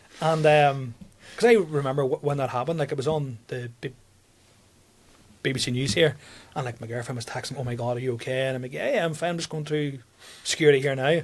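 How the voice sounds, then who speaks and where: With a strong Tyrone accent, a man talks at a very fast pace and a fairly high pitch. His intonation is fairly even, with long, frequent pauses. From Northern Ireland, County Tyrone. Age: 30s. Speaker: comedian. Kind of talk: casual chat. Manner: halting.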